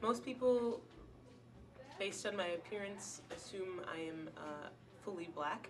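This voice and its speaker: Over music in the background, a woman with an American accent speaks at a fairly slow pace with lively intonation and long, frequent pauses. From Wisconsin, US. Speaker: college student. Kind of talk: interview testimony. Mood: calm, reflective. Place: hall. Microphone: camera far.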